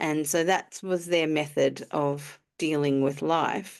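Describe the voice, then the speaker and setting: With an Australian accent, a woman speaks. Behind her, the background is quiet. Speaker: emotional alignment coach. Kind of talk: interview answer.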